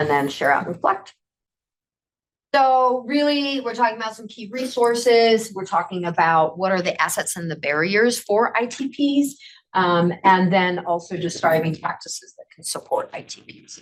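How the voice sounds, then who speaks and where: At a moderate pace, a woman with a medium pitch uses lively intonation and big swings in loudness. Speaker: conference presenter on adult education. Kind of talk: workshop presentation. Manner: hesitant, many fillers.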